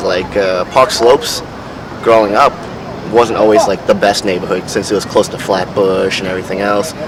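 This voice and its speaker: Against noticeable background noise, a man with a New York accent speaks at a fairly quick pace in a fairly low pitch. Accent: New York City. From New York City, Brooklyn. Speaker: interviewee. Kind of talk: interview. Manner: halting.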